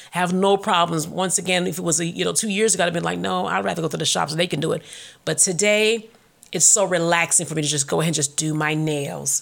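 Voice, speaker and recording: Talking at a very fast pace, a woman with fairly low pitch shows vocal fry. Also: ordinary pitch variation. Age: 40s. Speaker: faith podcast host. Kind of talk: casual monologue.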